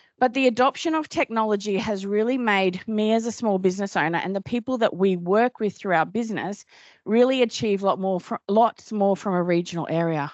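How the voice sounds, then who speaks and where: This speaker has a strong Australian accent and lively intonation. The pace is moderate. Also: woman. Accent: broad Australian. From Australia, Cairns (north Queensland). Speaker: business owner and dietitian. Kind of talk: conference talk. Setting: stage with audience. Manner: casual, chatty.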